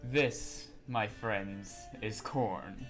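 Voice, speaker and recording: Over clear background music, a man puts on a character voice at a fairly low pitch. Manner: grand, dramatic.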